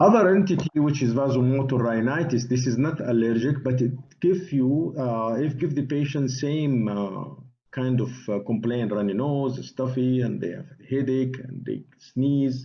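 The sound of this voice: Medium-pitched male voice, moderate pace with few pauses, ordinary pitch variation, and audible room echo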